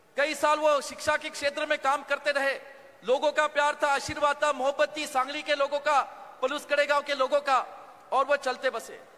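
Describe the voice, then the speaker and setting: A man with a Marathi accent speaks at a moderate pace in a raised, projected voice, his extremely high pitch held in a monotone, flat intonation. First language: Marathi (speaking Hindi). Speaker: politician. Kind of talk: political rally speech. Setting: stage at public rally. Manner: halting.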